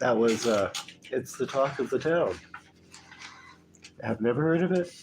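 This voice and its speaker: Against noticeable background noise, a man speaks at a moderate pace and a fairly high pitch, his intonation lively and his loudness very even. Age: 60s. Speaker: livestream music host. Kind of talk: casual chat. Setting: live stream. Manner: halting.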